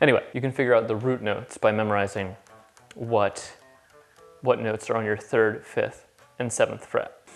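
Faint music plays in the background as a man speaks with fairly even intonation. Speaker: guitar teacher. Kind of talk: tutorial. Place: kitchen.

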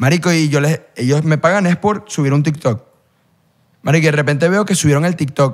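Over a quiet background, a man with a fairly high pitch speaks at a moderate pace, his loudness very even and his pitch varying in an ordinary way. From Venezuela. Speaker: content creator. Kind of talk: casual chat. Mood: relaxed, joking. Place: studio. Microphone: studio mic.

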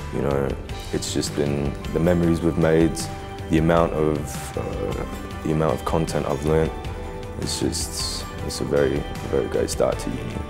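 A man's very deep, low voice at a moderate pace, monotone and flat, over clear music in the background. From Australia. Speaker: university student. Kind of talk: student testimonial. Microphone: lapel.

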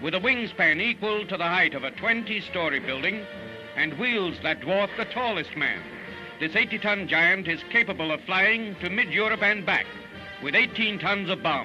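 A man with a high pitch uses a raised, projected voice at a moderate pace. His pitch varies in an ordinary way, with clear music in the background. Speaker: newsreel narrator. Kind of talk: newsreel narration. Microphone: old recording.

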